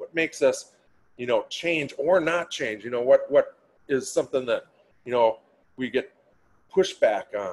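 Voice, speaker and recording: Long, frequent pauses mark this man's speech in a Minnesotan accent. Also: moderate pace. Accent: Minnesota. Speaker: change management trainer. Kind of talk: webinar presentation. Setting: online webinar. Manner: casual, filler-heavy.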